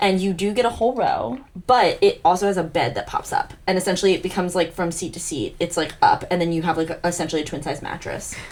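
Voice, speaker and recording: Over noticeable background noise, a woman at medium pitch talks at a very fast pace with hardly any pauses. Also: ordinary pitch variation. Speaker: podcast co-host. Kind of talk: casual chat. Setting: home. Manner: loud. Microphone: far from the mic.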